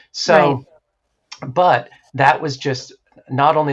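A man speaks in an American accent at a moderate pace. His voice is somewhat breathy, with ordinary pitch variation. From New Hampshire, US. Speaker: therapist and former stage performer. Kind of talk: interview.

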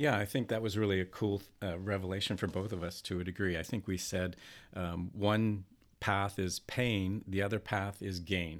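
A man with a plain, everyday voice speaks at a moderate pace and a fairly low pitch on a very clean recording with a silent background. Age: 60s. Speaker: school administrator and masters athlete. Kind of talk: casual interview.

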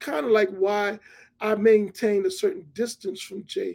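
This man speaks in a New York accent at a high pitch. His intonation is lively. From Hollis, Queens, New York City. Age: 50s. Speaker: TV producer. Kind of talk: interview.

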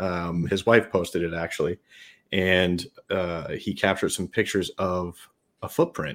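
In a very clean recording with a silent background, a man with an American accent and a very deep, low pitch talks at a moderate pace with fairly even intonation. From New York State. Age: 30s. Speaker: Bigfoot researcher and app project leader. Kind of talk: casual interview chat.

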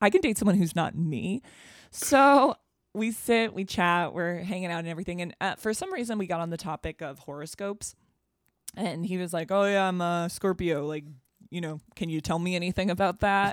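A woman with an American accent talks at a fairly quick pace, medium in pitch with ordinary pitch variation. It is a normal speaking voice. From Boston. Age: 30s. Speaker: comedian and podcast host. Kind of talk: casual chat.

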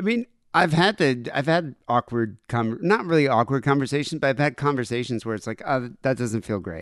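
This man has a plain, everyday voice at a medium pitch, with a dry, close sound with no echo. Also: fairly quick pace, hardly any pauses. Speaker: radio host. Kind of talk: casual chat.

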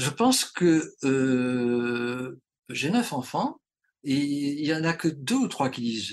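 Fairly high in pitch, a man speaks with lively intonation. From Marseille, southern France. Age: 70s. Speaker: traditional Chinese medicine teacher. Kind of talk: interview. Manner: halting.

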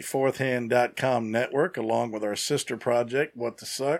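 This man has an ordinary speaking voice of medium pitch. He speaks at a moderate pace. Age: 50s. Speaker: podcast co-host. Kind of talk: reading aloud; casual chat.

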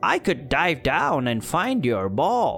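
Clear music plays behind a man doing a put-on character voice, croaky and fairly high-pitched, at a fairly slow pace.

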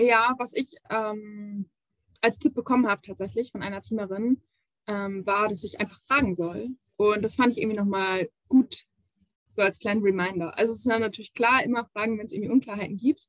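This woman has an ordinary speaking voice, fairly high in pitch, with fairly even intonation at a moderate pace. The sound is dry and close, with no echo. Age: 20s. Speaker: youth education officer. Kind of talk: interview.

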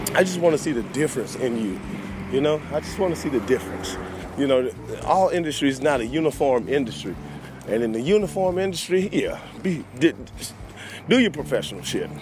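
A man with a fairly high pitch talks at a fairly quick pace with lively intonation. He takes long, frequent pauses, and there is noticeable background noise. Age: 30s. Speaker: podcast host and DJ. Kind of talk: casual monologue. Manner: animated.

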